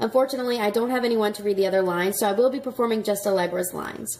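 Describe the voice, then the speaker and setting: With an American accent, a woman speaks at a very fast pace, her pitch varying in an ordinary way. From Texas. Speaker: actress. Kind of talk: audition introduction to camera. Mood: friendly, upbeat. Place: home room. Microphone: phone near.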